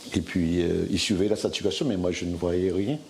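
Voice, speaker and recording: A man speaks in a very deep, low voice. His pace is fairly slow. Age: 60s. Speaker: hospital worker and former covid patient. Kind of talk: testimony. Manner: halting.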